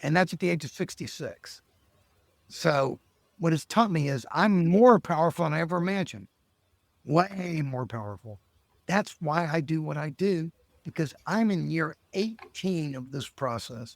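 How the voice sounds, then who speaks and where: A man's ordinary speaking voice at a fairly high pitch, with lively intonation and a moderate pace, dry and close with no echo on a very clean recording with a silent background. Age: 60s. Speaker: lawyer and life coach. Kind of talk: podcast interview.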